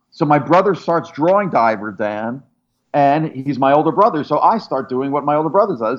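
At a fairly quick pace, a man talks with a fairly high pitch. His pitch swings very widely. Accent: American. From US. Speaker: artist and pop culture historian. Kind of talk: interview. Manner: animated.

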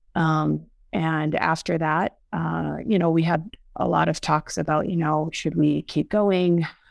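At a fairly slow pace, a woman talks with very even loudness on a very clean recording with a silent background. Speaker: cardiologist co-host. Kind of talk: personal testimony in casual chat. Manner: halting, many fillers.

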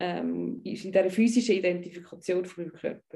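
A woman's dark, mellow voice at a medium pitch, with a Swiss accent. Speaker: tantra bodyworker and life coach. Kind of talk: interview conversation. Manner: halting, with frequent word repetitions.

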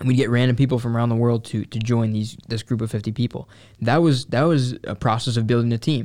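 This voice has an American accent and a dark, mellow tone. It runs at a very fast pace with fairly even intonation. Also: man, medium pitch for a man. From Upstate New York (Syracuse). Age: 20s. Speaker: entrepreneur. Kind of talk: casual chat.

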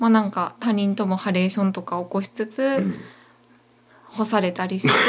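Against noticeable background noise, a woman speaks at a fairly high pitch in a Kansai accent. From Wakayama, Japan. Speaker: singer-songwriter. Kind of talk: casual interview. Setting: running shop.

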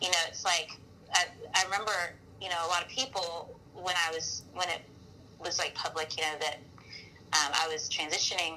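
A woman speaks with an Alabama accent at a fairly low pitch. Her pace is moderate. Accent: Southern US (Alabama). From US South, Mobile, Alabama. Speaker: worship leader and pastor. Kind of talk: casual interview. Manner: animated.

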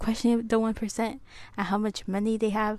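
A woman speaks at a fairly slow pace with a fairly high pitch. The recording is very clean, with a silent background. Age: 20s. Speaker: solo podcaster, college student. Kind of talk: casual monologue. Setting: home recording with small clip-on mic.

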